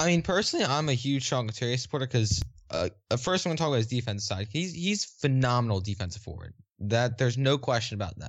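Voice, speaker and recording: Lively and somewhat breathy, a man talks very fast at a medium pitch. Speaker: podcast co-host guest. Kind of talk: casual sports debate. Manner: casual, opinionated, hesitant with fillers.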